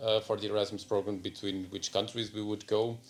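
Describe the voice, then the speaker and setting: Fairly low-pitched man's voice in a Portuguese accent, with music in the background. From Portugal. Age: 30s. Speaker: engineer. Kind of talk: interview testimony. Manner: hesitant, many fillers.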